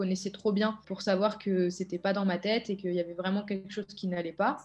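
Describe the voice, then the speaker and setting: A woman speaks very fast with monotone, flat intonation. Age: 20s. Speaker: elite triathlete. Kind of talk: testimony. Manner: hesitant, many filler words. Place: home room. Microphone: webcam.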